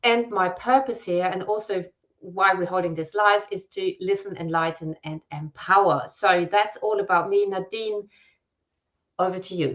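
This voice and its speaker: A woman speaks at a medium pitch in a German accent. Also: ordinary pitch variation, moderate pace. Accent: German accent, self-described as weird. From Germany. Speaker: copywriter and brand messaging strategist. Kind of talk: live-stream conversation. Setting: live video stream.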